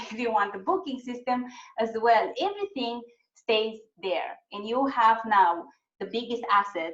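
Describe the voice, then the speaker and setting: A woman with an unremarkable speaking voice and a fairly high pitch talks at a fairly slow pace, her intonation lively and her loudness swinging widely. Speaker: webinar presenter on websites. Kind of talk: webinar presentation.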